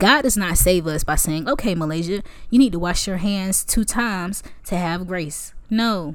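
A woman's animated voice at a moderate pace, with audible room echo. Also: medium pitch for a woman, ordinary pitch variation. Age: 20s. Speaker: podcast host and college student. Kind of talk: casual faith talk.

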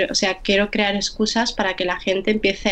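She has an ordinary speaking voice. The woman's medium pitch moves at a fairly quick pace. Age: 20s. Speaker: poet. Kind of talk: interview.

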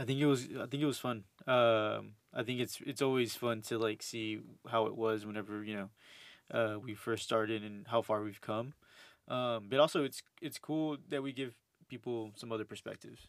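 Speaking in a normal speaking voice with an American accent, a man keeps a medium pitch, fairly even intonation and a moderate pace. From Houston, Texas. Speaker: host's boyfriend. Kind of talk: casual chat.

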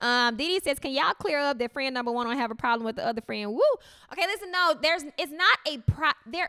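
Projecting her voice, a woman talks at a very fast pace and high pitch, with a bright, sharp tone, lively intonation and a dry, close sound with no echo. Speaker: podcast co-host. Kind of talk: casual chat. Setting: home. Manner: loud.

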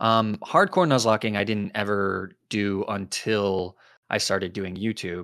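The speaker has a plain, everyday voice and a fairly slow pace. Intonation stays fairly even in a very clean recording with a silent background. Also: man, fairly low pitch for a man. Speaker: YouTuber and streamer.

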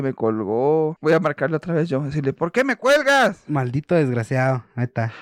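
An animated man's voice, dry and close with no echo, on a very clean recording against a silent background. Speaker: podcast co-host. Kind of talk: casual chat.

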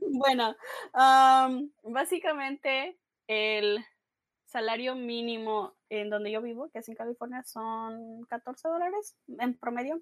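A woman's high voice at a very slow pace, with ordinary pitch variation, big swings in loudness, and a dry, close sound with no echo. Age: 20s. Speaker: linguistics student. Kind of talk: casual interview. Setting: after work.

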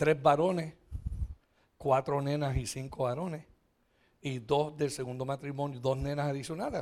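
Pitch variation is ordinary in this man's speech. His voice is fairly high, and his pace is moderate. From Puerto Rico. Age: 60s. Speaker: pastor. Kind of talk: sermon. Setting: church. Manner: animated.

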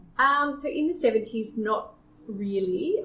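Someone with an Australian accent speaks with ordinary pitch variation. Noticeable background noise is present. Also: woman. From Australia, small town near Sydney. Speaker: podcast guest. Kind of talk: casual interview.

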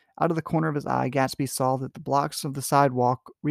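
Simply plain reading aloud

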